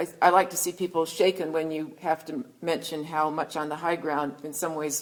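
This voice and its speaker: Using ordinary pitch variation, a woman with a very deep, low voice speaks at a fairly quick pace. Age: 60s. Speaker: historian and author. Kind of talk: book talk Q&A answer. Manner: animated.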